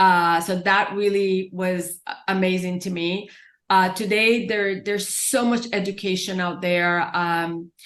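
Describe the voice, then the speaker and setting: Against a quiet background, a woman with a Spanish accent speaks fairly slowly in a monotone, flat intonation. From Puerto Rico. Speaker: author and parenting expert. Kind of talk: interview.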